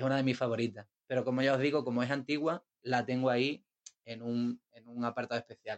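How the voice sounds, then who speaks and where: Here a man talks at a fairly quick pace and medium pitch. His intonation is monotone and flat, while his loudness swings widely. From Isla Cristina, Huelva, Andalusia, Spain. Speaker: visual artist. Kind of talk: casual chat.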